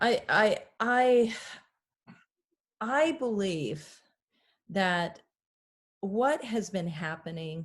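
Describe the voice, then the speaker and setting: A woman talks at a very slow pace, with long, frequent pauses and very wide pitch swings. Her medium-pitched voice is somewhat breathy over a quiet background. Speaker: pastor. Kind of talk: interview conversation.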